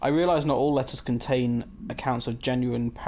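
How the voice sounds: The clip is read aloud in a natural reading voice.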